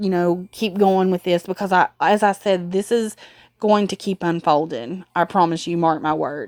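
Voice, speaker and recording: Recorded dry and close with no echo, in a very clean recording with a silent background, a woman with a Southern US accent speaks at a medium pitch. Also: ordinary pitch variation. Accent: southern US drawl. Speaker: animal welfare youtuber. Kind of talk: casual vlog update. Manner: rambling with many fillers.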